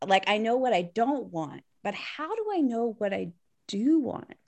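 Her pitch fairly high and swinging very widely, a woman talks at a fairly slow pace. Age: 40s. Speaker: podcast host. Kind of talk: interview; scripted intro.

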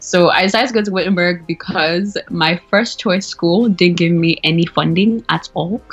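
Against noticeable background noise, a woman with a fairly low pitch speaks at a moderate pace with ordinary pitch variation and hardly any pauses. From Nigeria, Lagos. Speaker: graduate student, immigrant. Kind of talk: interview. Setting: phone or video call.

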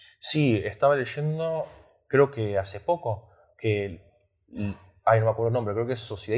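A man with a somewhat breathy voice lets his pitch vary in an ordinary way. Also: very clean recording, silent background. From Australia. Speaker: podcast host. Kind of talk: interview.

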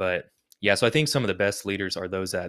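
A man's fairly low voice at a very fast pace. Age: 30s. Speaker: co-host, church staff. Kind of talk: casual chat.

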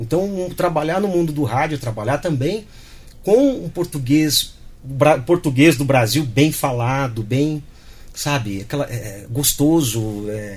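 The man's somewhat breathy voice carries lively intonation. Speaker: radio announcer. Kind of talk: interview. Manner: clear, announcer-style diction.

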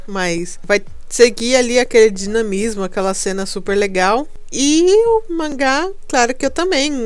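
Very slow delivery against noticeable background noise. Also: woman. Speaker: podcast host. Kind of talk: casual solo monologue. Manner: halting, repeats words.

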